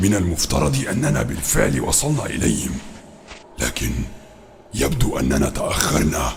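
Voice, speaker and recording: A put-on character voice at a fairly slow pace, with long, frequent pauses and clear background noise. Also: man, very deep, low pitch for a man. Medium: audio drama. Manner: formal classical Arabic, solemn.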